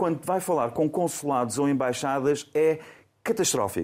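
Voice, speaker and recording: On a very clean recording with a silent background, a man with an unremarkable speaking voice talks at a fairly high pitch with lively intonation. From Faro, Algarve, Portugal. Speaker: panelist commentator. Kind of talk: panel discussion.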